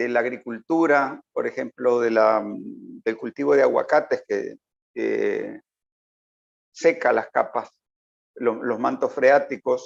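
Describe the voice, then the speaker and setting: A man at a very slow pace, with long, frequent pauses, in a dry, close sound with no echo. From Uruguay, then Nicaragua from youth. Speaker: political analyst. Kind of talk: interview.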